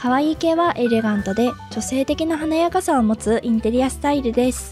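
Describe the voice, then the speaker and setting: A woman's high pitch with ordinary pitch variation at a fairly quick pace, music in the background. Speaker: game interior design tutorial creator. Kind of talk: tutorial narration. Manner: polite, explanatory.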